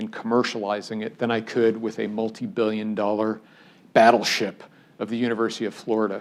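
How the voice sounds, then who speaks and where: A man speaks in an unremarkable speaking voice. His pitch is medium and his pace moderate. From US Midwest (Cleveland, Ohio suburbs). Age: 60s. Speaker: engineering professor. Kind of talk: public lecture.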